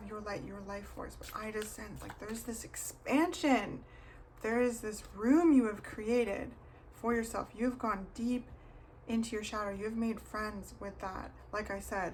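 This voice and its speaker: Fairly high-pitched and fairly slow, a woman speaks with fairly even intonation and big swings in loudness amid audible room echo. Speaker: tarot reader. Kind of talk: tarot reading video.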